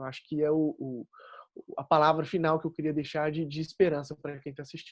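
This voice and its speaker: Against a quiet background, a man with a Minas Gerais accent talks at a fairly quick pace in a fairly high pitch, with monotone, flat intonation and big swings in loudness. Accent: Minas Gerais accent, kept. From Minas Gerais, Brazil. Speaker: engineering graduate speaker. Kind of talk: panel talk.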